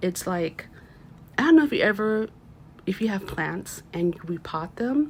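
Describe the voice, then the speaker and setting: The voice moves at a moderate pace with very wide pitch swings and long, frequent pauses. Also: woman, medium pitch for a woman. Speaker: tarot reader. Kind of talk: tarot reading. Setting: at home, window open.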